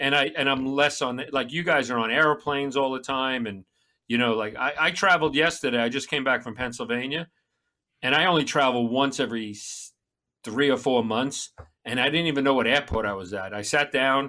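On a very clean recording with a silent background, a man speaks with a New York accent. His tone is bright and sharp, and his pace fairly quick. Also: medium pitch for a man, ordinary pitch variation. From Long Island, New York. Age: 50s. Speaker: comedian and former police officer. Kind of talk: casual chat.

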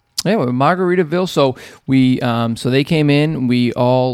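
A man's medium-pitched, ordinary speaking voice with ordinary pitch variation. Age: 40s. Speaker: podcast host. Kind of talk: casual chat.

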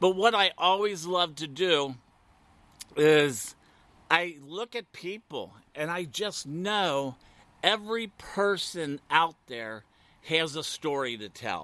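On a very clean recording with a silent background, a man with a Midwestern US accent speaks at a very slow pace in a high-pitched, bright, sharp tone, with lively intonation, big swings in loudness and long, frequent pauses. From US Midwest; Ohio. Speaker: podcast host, former radio host. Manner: talkative, animated, flirty.

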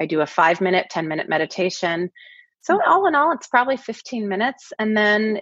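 A woman's fairly high voice, fairly quick, with very wide pitch swings. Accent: American. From US Pacific Northwest (Kirkland/Seattle, Washington). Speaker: executive coach. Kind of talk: interview.

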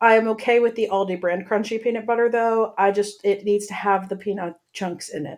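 A woman with an American accent speaks in an unremarkable speaking voice at a medium pitch, fairly quickly and with hardly any pauses. Her intonation is fairly even, and the recording is very clean with a silent background. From central Pennsylvania. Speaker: podcast co-host. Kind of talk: casual chat.

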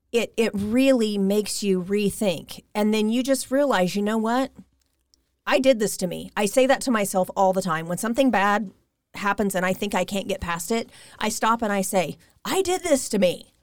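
An ordinary speaking voice, a woman with an American accent talks at a medium pitch and a moderate pace, with ordinary pitch variation, on a very clean recording with a silent background. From US Midwest, Kansas (Derby, Wichita). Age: 40s. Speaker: energy healer. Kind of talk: interview.

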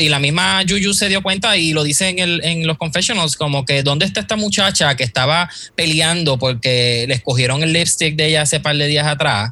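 Against noticeable background noise, a man speaks at a fairly high pitch with very even loudness. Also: ordinary pitch variation, fairly quick pace, hardly any pauses. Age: 30s. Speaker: graphic designer. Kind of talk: casual chat.

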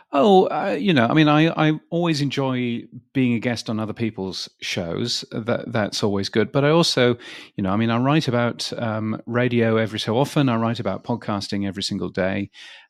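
Lively intonation in a British accent, at a fairly quick pace, on a very clean recording with a silent background. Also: man, medium pitch for a man. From England. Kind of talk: interview. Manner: halting.

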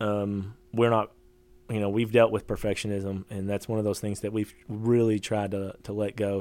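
At a moderate pace, a man speaks with a Kentucky accent. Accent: Kentucky Southern. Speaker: homesteader and social media creator. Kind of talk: casual interview chat.

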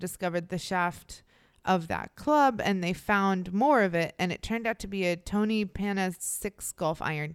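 In a plain, everyday voice, a woman at medium pitch speaks at a moderate pace with ordinary pitch variation on a very clean recording with a silent background. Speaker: true crime podcast co-host. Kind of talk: casual chat and true crime storytelling.

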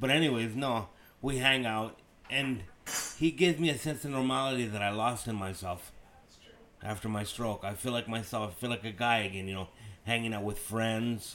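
Noticeable background noise accompanies a man of medium pitch who speaks at a moderate pace with ordinary pitch variation and long, frequent pauses. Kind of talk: casual chat. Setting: at home.

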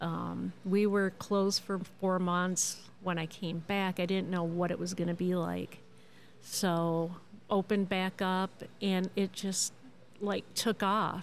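Very slowly, a woman talks in a monotone, flat intonation. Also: medium pitch for a woman. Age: 50s. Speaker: record store owner. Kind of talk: casual interview. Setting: live on location in a marketplace.

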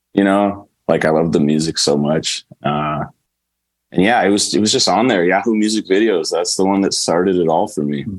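A man with a normal speaking voice keeps a very even loudness at a moderate pace, his fairly low pitch showing ordinary variation. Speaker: punk band frontman. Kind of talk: casual interview chat.

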